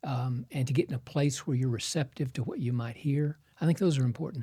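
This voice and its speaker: Very fast and somewhat breathy, a man speaks at a fairly high pitch with a dark, mellow tone and fairly even intonation. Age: 70s. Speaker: surgeon and pastor. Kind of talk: podcast interview.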